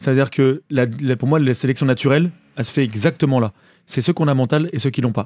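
A man speaks very fast, the sound dry and close with no echo. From western France (Maine-et-Loire, near Cholet). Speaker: musician. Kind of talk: casual chat.

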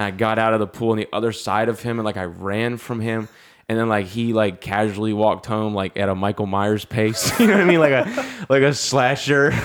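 A man's normal speaking voice at a medium pitch, fairly quick with hardly any pauses and ordinary pitch variation. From US South, North Carolina. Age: 20s. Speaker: comedian. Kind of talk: casual chat.

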